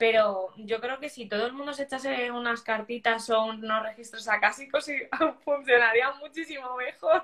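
A woman's high-pitched voice with a bright, sharp tone, ordinary pitch variation, big swings in loudness and a moderate pace. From Spain. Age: 20s. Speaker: life coach and holistic therapist. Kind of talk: interview.

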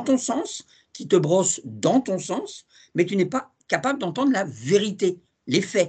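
A man with a high-pitched voice. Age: 60s. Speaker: TV series journalist. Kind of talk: casual interview.

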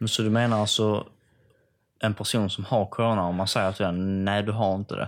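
The voice keeps a monotone, flat intonation at a moderate pace. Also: man, very clean recording, silent background. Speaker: podcast host. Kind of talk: casual chat.

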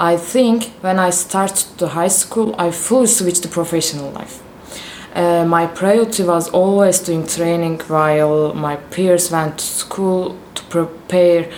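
The speaker has a Turkish accent and talks at a fairly slow pace with ordinary pitch variation. Noticeable background noise runs underneath. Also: woman. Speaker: professional volleyball player. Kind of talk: interview. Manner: halting, with fillers.

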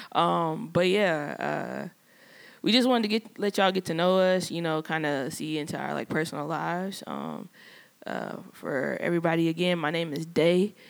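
On a very clean recording with total background silence, the words arrive at a moderate speed. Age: 30s. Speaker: podcast co-host. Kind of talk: casual chat. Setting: studio.

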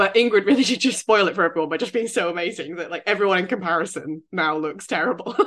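In a British accent, the speech races along at a very fast pace with hardly any pauses and ordinary pitch variation. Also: woman, medium pitch for a woman. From Britain. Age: 30s. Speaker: royal news podcast co-host. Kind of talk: casual chat.

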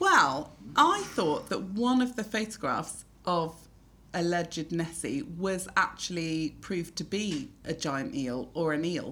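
A woman with a fairly low pitch talks in a bright, sharp, animated tone. Her pitch swings very widely at a fairly slow pace. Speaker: podcast host. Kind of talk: casual chat. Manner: animated, laughing.

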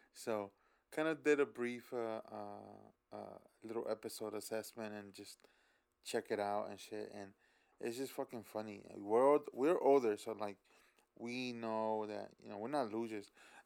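In a very clean recording with a silent background, a man with a plain, everyday voice speaks fairly slowly at medium pitch, his intonation fairly even but his loudness swinging widely. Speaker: tattoo artist, co-host. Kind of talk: casual banter. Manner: laid-back, slangy.

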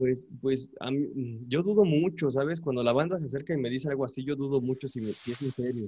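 The tone is dark and mellow, somewhat breathy, with ordinary pitch variation. Delivery is at a fairly quick pace with hardly any pauses. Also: man, medium pitch for a man. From Mexico, Puebla. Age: 20s. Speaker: cumbia musician. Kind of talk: casual chat.

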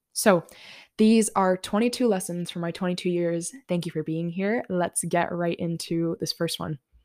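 Recorded very cleanly against a silent background with a dry, close sound and no echo, a woman speaks at a moderate pace with fairly even intonation. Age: 20s. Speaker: podcast host. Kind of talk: solo podcast monologue.

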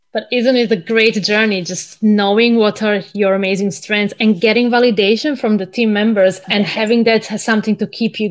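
With an unremarkable speaking voice, a woman talks at a moderate pace, her fairly high pitch showing ordinary variation. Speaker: podcast host. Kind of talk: interview.

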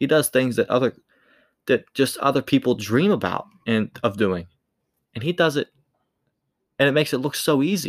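At a moderate pace, a man speaks at a medium pitch with lively intonation and long, frequent pauses, captured dry and close with no echo in a very clean recording. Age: 20s. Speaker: sports podcast host. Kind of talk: solo sports commentary podcast. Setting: home studio in bedroom. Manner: casual and conversational.

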